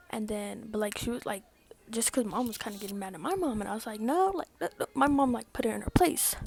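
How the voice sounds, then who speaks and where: A woman talks very fast with lively intonation and a fairly high pitch. Noticeable background noise sits behind her. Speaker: vlogger. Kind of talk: storytime vlog. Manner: casual, filler-heavy.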